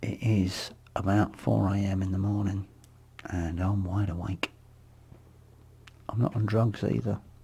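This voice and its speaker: A man with a dark, mellow, somewhat breathy tone speaks with long, frequent pauses. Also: fairly low pitch for a man, ordinary pitch variation. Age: 50s. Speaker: vlogger, abuse survivor. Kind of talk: personal monologue vlog. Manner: halting.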